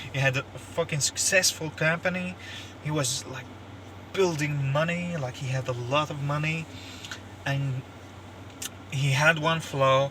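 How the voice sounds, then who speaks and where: A man talks at a fairly slow pace in a fairly high pitch with a non-native accent. Noticeable background noise runs behind him. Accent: non-native English, says pronunciation is bad. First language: not English (French, Russian or Turkish). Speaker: YouTuber commentator. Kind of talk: opinion monologue. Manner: halting, many fillers and repeats; animated.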